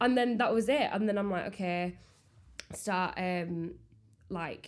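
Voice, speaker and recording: A woman talks at a fairly slow pace with a medium pitch and ordinary pitch variation. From Yorkshire, England. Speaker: baker and small business owner. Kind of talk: casual chat. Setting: podcast recording.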